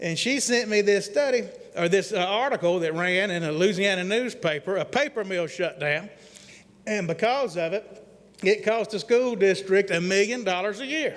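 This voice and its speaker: With a Southern accent, a man speaks at a high pitch using ordinary pitch variation. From Mississippi. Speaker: economic development consultant. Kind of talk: presentation to city council. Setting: council meeting at airport. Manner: fast; folksy.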